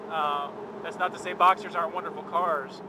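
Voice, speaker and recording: Moderate pace, dry sound with no echo, and loud background noise. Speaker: car journalist. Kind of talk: casual conversation commentary. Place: car.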